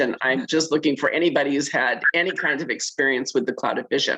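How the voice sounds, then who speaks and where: With a very deep, low pitch for a woman, she talks at a fairly quick pace and shows ordinary pitch variation. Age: 60s. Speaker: caller sharing product testimonial. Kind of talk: testimony.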